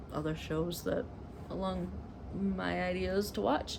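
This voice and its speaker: A woman speaks at a moderate pace with an American accent. Audible room echo surrounds her voice. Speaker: cross-stitch vlogger. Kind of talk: casual chat. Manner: casual, filler words.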